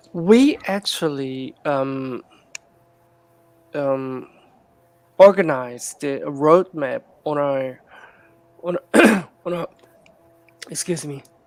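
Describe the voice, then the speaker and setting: Amid noticeable background noise, a man with a fairly high pitch speaks very slowly, with long, frequent pauses, big swings in loudness and ordinary pitch variation. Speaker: game project team member. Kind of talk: live AMA interview. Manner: halting, many fillers.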